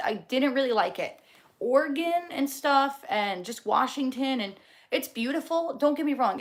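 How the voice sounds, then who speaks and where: A woman's high-pitched, animated voice with lively intonation, a New Jersey accent and a moderate pace. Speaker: livestreamer. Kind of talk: casual chat reading live comments.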